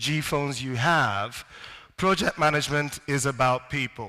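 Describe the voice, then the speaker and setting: The recording is very clean, with a silent background. A man speaks at a fairly high pitch in a bright, sharp tone. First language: not English. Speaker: academic conference speaker. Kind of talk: lecture. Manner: halting, with repetitions.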